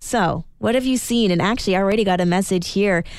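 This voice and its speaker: A woman speaks with lively intonation. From Alberta, Canada. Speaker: radio host. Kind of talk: casual radio talk. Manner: animated.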